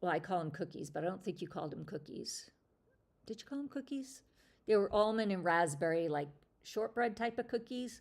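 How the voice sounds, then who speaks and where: A woman is speaking. Her intonation is lively. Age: 50s. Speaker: lifestyle livestream host. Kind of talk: casual chat. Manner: conversational with fillers.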